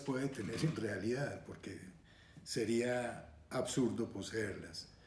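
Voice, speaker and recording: A man's somewhat breathy voice at a medium pitch and very slow pace, with audible room echo. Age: 70s. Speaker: retired surgeon and scale modeler. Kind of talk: interview monologue. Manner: hesitant with frequent fillers.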